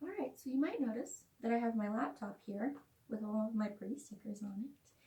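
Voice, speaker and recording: A woman's fairly high, somewhat breathy voice, dark and mellow in tone, with lively intonation, a fairly quick pace, and big swings in loudness. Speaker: author. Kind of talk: casual talk to camera.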